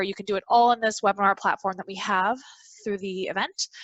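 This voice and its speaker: Her pitch fairly high, a woman speaks in a monotone, flat intonation. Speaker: webinar platform trainer. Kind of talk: training tutorial. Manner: fast.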